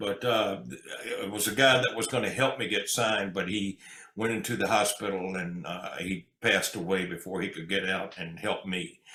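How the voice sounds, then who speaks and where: Noticeable background noise surrounds a man's voice. He has a fairly low pitch, ordinary pitch variation and a moderate pace. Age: 70s. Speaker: country singer and entertainer. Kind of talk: interview.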